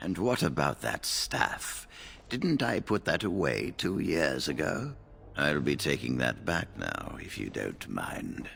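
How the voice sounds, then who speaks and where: A man's put-on character voice, very deep and low, with very wide pitch swings at a fairly slow pace over clear background noise. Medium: video game. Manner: measured, mild.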